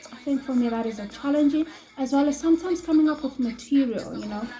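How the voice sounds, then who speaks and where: A woman with a high voice and ordinary pitch variation, music playing behind her. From South Africa, Johannesburg. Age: 20s. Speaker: ESL teacher. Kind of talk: self-introduction video. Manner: hesitant, many fillers.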